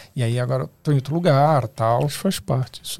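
In an ordinary speaking voice, a man talks at a fairly quick pace and a fairly high pitch with ordinary pitch variation, on a very clean recording with a silent background. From Osasco, São Paulo, Brazil. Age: 30s. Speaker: photographer and video director. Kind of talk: casual podcast interview.

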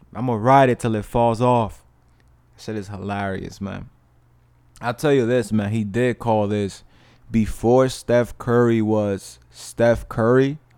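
At a fairly slow pace, a man with a medium-pitched voice and a dark, mellow tone speaks with fairly even intonation in a very clean recording with a silent background. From New York, Dominican family. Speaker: podcast host. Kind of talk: casual monologue.

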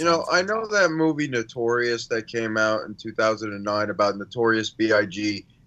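With an ordinary speaking voice at a medium pitch, a man talks using lively intonation. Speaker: movie podcast co-host.

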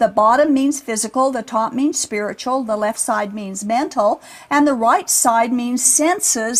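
Over noticeable background noise, a woman with a high voice speaks at a fairly slow pace with ordinary pitch variation. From Utah. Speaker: religious podcast host. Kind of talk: scripted narration.

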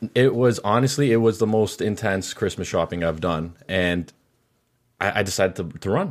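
A man with an American accent talks at a moderate pace in a plain, everyday voice, his pitch fairly low with ordinary variation. The recording is very clean and the background silent. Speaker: podcast co-host. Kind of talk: casual banter podcast.

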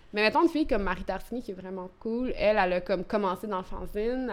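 At a very fast pace, a woman speaks at medium pitch. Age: 30s. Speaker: poet. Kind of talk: interview. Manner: halting.

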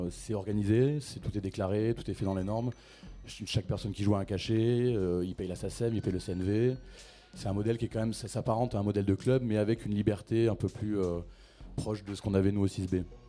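A man's fairly low, dark, mellow voice, fairly quick in pace and fairly even in intonation. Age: 30s. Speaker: club programmer and event organizer. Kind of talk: panel discussion.

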